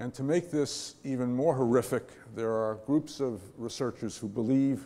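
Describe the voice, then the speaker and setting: At a fairly slow pace, a man speaks in a medium pitch with a dark, mellow tone. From New York. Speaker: panel moderator and professor; panel moderator, professor. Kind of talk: panel moderation. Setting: stage with audience. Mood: earnest, reflective. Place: hall. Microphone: podium.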